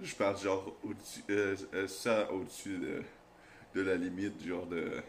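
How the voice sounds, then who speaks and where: A man speaks in a fairly low voice at a fairly slow pace. His intonation is monotone and flat. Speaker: YouTuber. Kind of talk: casual storytelling. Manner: loud.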